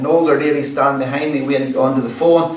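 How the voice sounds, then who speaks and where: A man speaks at a fairly quick pace, his pitch fairly high and his intonation fairly even. Room echo is audible, and background noise is noticeable. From Northern Ireland, rural County Antrim (Ulster Scots area). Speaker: storyteller and musician. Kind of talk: storytelling talk to a community group. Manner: casual, conversational.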